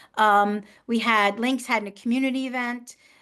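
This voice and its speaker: Against a quiet background, a woman talks at a moderate pace in a bright, sharp tone. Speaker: professional association president and educator. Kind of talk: webinar presentation.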